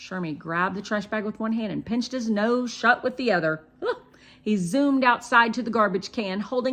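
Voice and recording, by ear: A passage is being read aloud. The voice sounds natural.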